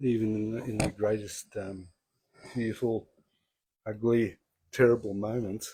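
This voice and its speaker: Soft-spoken and somewhat breathy, a man with a fairly low pitch and a dark, mellow tone talks at a fairly slow pace. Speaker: spiritual group speaker. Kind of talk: spiritual talk. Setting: in-person group streamed online. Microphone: handheld mic, inaudible when held far.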